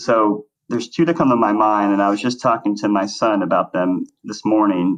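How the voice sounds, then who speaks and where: A man talks at a moderate pace in an unremarkable speaking voice. His pitch is fairly low. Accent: American. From Texas, Dallas suburbs. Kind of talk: interview.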